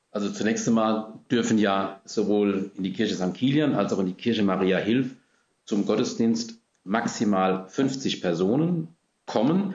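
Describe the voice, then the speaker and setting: A man with a normal speaking voice talks at a fairly slow pace, his fairly low pitch showing ordinary variation. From Germany, Rhine-Hesse region (Gernsheim am Rhein). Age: 60s. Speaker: parish priest. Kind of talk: interview. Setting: in-person recording, seated far apart.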